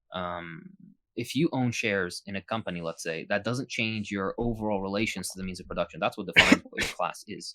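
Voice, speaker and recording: With a non-native accent, a man speaks at a fairly quick pace in a bright, sharp tone, his fairly low pitch moving with ordinary variation in a dry, close sound with no echo. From Iraq. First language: not English. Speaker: political YouTuber and physician. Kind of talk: interview Q&A. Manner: halting, many fillers.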